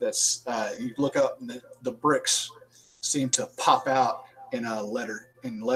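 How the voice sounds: This recording has a natural reading voice.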